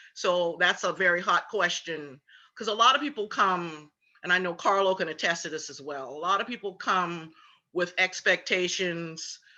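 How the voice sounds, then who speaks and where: A woman speaks at a moderate pace in a South Carolina Lowcountry accent, her voice fairly low with a bright, sharp tone. Her loudness swings widely while her pitch varies in an ordinary way. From Charleston, South Carolina (Gullah Geechee area). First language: Gullah. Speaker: tour guide and cultural presenter. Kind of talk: symposium Q&A answer.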